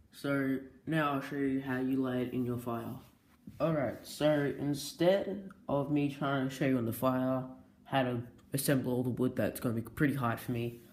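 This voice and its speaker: A man at medium pitch and moderate pace, fairly even intonation, audible room echo. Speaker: video tutorial maker. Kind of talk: tutorial. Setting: indoors by a fireplace. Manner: casual, hesitant.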